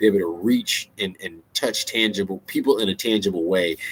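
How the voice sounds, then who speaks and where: An animated man at a fairly low pitch, ordinary pitch variation, in a dry, close sound with no echo. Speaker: songwriter and author sharing creative advice. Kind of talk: casual vlog talk. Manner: fast.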